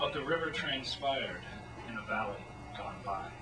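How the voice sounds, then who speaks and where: Clear music plays in the background as a man speaks at a fairly slow pace. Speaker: poet at open reading. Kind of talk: poetry reading. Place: hall. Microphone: old recording.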